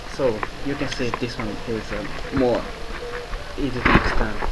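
A man speaks at a moderate pace while loud background noise runs behind him. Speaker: engineer, cartridge developer. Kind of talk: interview answer. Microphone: phone near.

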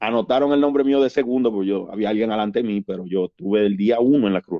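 Pitch variation here is ordinary. The pace stays moderate. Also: man. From Dominican Republic, Nagua. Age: 40s. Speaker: Red Cross rescue volunteer. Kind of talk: casual interview storytelling. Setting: studio.

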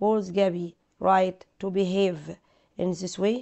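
A woman speaks with an Egyptian accent. Her pitch is medium and her intonation fairly even. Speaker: English teacher. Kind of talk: lesson. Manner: slow, repetitive drilling.

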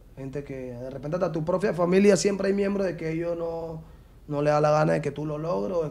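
A man talks at a fairly quick pace with a fairly high pitch and a dark, mellow tone. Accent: Panamanian. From Panama. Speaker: professional footballer; interview guest. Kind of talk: interview. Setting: studio. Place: studio. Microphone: studio mic.

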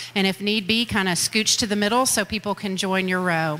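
This woman speaks at a fairly quick pace. Her intonation stays fairly even. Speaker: school district official hosting a meeting. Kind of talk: public address to audience. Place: hall.

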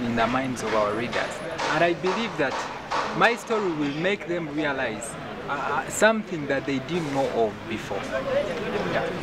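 Through loud background noise, a man speaks at a fairly slow pace with a fairly high pitch and lively intonation. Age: 20s. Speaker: student writer. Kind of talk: interview. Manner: halting. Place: garden.

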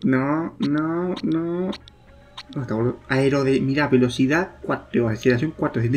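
Light background noise sits behind a man speaking. He goes at a fairly slow pace with long, frequent pauses. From Argentina. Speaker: gaming youtuber. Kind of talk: let's play commentary. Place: home room. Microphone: problems with USB microphone.

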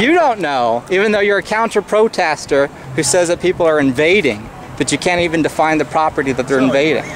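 A man talks at a fairly quick pace. The sound is dry with no echo, though noticeable background noise comes through. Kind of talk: confrontational questioning and commentary. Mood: challenging, sarcastic. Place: street.

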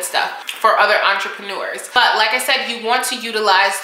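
Amid light background noise and audible room echo, a woman speaks at a fairly quick pace with fairly even intonation. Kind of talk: casual vlog chat. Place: home room. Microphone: camera far.

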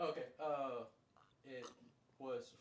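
Light background noise and audible room echo around a man speaking. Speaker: streamer. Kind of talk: casual conversation. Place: home room.

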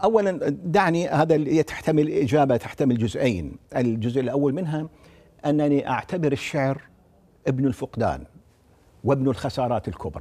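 A man speaks at a fairly slow pace in a dark, mellow tone. His pitch is fairly high and his intonation is lively. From Iraq, Baghdad (early years in Wasit); Iraq. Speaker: poet and literature professor; guest. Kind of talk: interview. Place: studio. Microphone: lapel.

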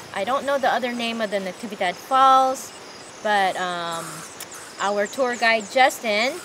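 A woman is speaking with ordinary pitch variation. Noticeable background noise runs behind her. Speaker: trip vlogger. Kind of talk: casual vlog chat. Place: open country. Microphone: phone near.

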